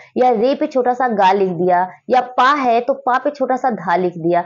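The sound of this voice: A woman speaks in a fairly high pitch. Her tone is slightly mellow.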